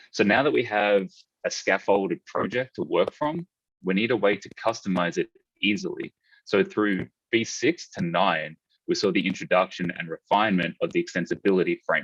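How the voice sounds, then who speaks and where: With an Australian accent, a man speaks in a dry, close sound with no echo. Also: moderate pace. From Australia, Melbourne. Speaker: conference speaker, e-commerce developer. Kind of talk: technical conference talk.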